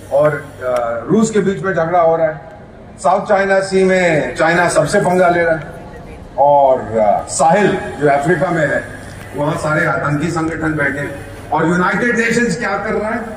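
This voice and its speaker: A man speaks in a high voice with ordinary pitch variation. Room echo is audible, and background noise is noticeable. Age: 70s. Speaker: former diplomat. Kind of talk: keynote speech. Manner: animated.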